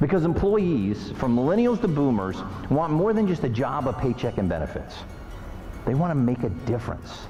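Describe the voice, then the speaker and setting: Over music in the background, a man with a fairly high pitch speaks at a moderate pace with very wide pitch swings and very even loudness. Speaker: motivational speaker. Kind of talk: keynote speech to an audience.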